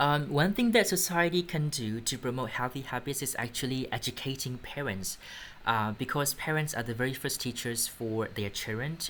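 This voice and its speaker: The speaker has a Burmese accent. The pace is moderate. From Myanmar. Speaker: English test instructor. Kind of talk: mock speaking exam answers. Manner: halting, with fillers.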